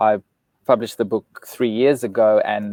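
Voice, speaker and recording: In a South African accent, a man talks at a moderate pace with a medium pitch and a dark, mellow tone, the sound dry and close with no echo. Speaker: relationship author and speaker. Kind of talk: live interview. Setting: live video stream.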